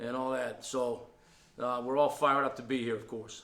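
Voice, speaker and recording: A man talks at a fairly quick pace with a medium pitch. The room echo is audible. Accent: Boston. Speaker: college football offensive line coach. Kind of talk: press conference interview. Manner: animated.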